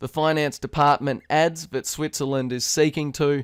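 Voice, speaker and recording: Flat, monotone intonation marks a man with an Australian accent, heard dry and close with no echo in a very clean recording over a silent background. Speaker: crypto news presenter. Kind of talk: news reading. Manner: formal.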